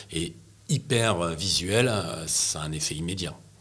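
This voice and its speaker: Here a man talks at a moderate pace with ordinary pitch variation. Room echo is audible. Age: 60s. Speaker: press photographer. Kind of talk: interview. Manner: hesitant, many fillers and repetitions.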